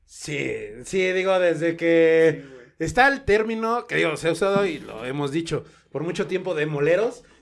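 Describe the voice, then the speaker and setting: With lively intonation and big swings in loudness, a man speaks at a moderate pace in a high voice. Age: 30s. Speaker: podcast host, wrestling photographer. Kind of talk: casual chat.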